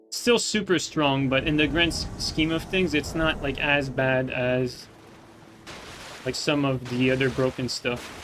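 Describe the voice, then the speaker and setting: Against noticeable background noise, a man with a non-native accent speaks at a fairly slow pace, his fairly high pitch held in fairly even intonation. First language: not English. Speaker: gaming streamer. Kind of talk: live gameplay commentary. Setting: live stream. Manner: halting, many fillers.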